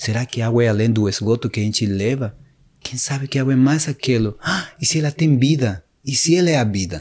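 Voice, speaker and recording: A man with a Spanish accent speaks at a fairly quick pace in a somewhat breathy, medium-pitched voice with ordinary pitch variation. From Peru, Cusco (Sacred Valley). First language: Spanish (speaking Portuguese). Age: 40s. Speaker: shaman, medicine man. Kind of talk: interview, spiritual storytelling. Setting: studio, in person.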